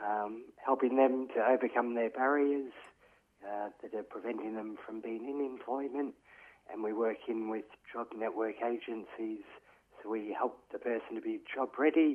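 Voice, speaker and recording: With an Australian accent, a man speaks at a moderate pace in a medium pitch, his intonation fairly even. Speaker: peer support worker. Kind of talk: interview.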